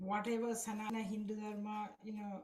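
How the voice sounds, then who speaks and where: This woman's voice is fairly high and somewhat breathy. She keeps a moderate pace. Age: 60s. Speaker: spiritual devotee. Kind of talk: testimony. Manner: halting.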